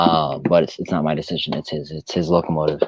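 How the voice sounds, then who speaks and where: Against a quiet background, a man speaks in a very deep, low, flat monotone, the sound dry and close with no echo. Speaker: livestream co-host, model railroad hobbyist. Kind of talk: casual chat.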